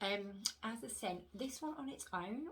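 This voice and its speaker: A woman whispers quietly. Audible room echo surrounds her voice. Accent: British. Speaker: wax melt reviewer. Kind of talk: casual product review vlog. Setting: home room, upstairs. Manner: hushed, near whisper; hesitant, many fillers.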